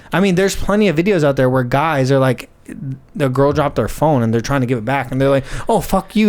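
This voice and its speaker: With lively intonation and an animated tone, a man speaks at a fairly high pitch. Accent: American. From Scotland. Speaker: podcast guest. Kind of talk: casual chat.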